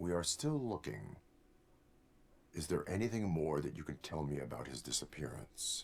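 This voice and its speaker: Using a put-on character voice with a very deep, low pitch, a man talks at a moderate pace with long, frequent pauses. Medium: video game. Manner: flat, formal, literal.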